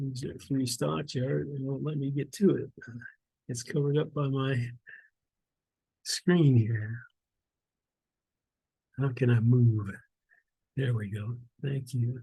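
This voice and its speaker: Dark and mellow in tone, the somewhat breathy voice moves very slowly with long, frequent pauses and ordinary pitch variation. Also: man, medium pitch for a man. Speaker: stock investing educator. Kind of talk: screen-share tutorial walkthrough. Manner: casual, conversational.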